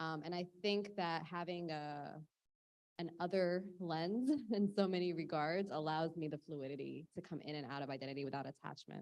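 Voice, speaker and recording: A woman with an American accent speaks in a normal speaking voice at a moderate pace, her pitch fairly low with ordinary variation. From United States. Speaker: artist. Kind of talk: panel discussion.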